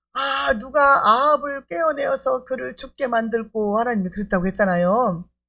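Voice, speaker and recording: Her voice is fairly high for a woman, with a bright, sharp tone. This woman's pitch swings are very wide. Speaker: pastor. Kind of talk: sermon. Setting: church service.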